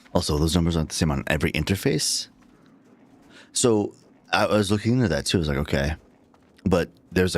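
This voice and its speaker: This man talks with a very deep, low pitch and vocal fry. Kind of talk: live stream chat. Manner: casual, halting.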